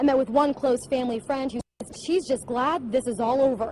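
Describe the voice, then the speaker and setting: With an American accent, a woman talks at a moderate pace in a high pitch with fairly even intonation. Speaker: TV news reporter. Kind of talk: TV news reporting, live stand-ups and packages.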